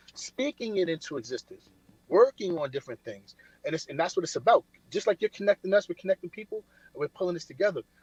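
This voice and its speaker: Dry and close with no echo, a man's high voice races at a very fast pace in a New York accent, with lively intonation. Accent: New York City. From Brooklyn, New York (Coney Island). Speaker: military veteran and finance speaker. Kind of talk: casual motivational talk. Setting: remote call from a diner. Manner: repetitive, stammering.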